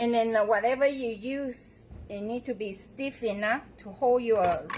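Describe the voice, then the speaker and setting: The speaker has a strong Taiwanese accent, fairly even intonation and a very slow pace. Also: woman. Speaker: bow maker demonstrator. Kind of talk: live tutorial. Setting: showroom, livestream.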